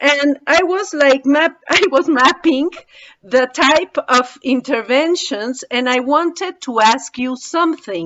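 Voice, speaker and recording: A woman with a Spanish accent talks very slowly at a high pitch, her pitch varying in an ordinary way. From Mexico. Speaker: webinar participant. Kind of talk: audience question. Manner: halting.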